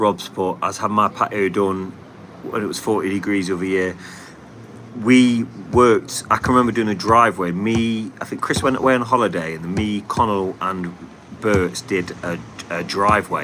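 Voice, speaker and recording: A man with a Nottingham accent talks at a moderate pace in a fairly low pitch, keeping his intonation fairly even over noticeable background noise. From England, Nottingham. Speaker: paving contractor and livestream host. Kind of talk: casual livestream chat reading comments. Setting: live stream.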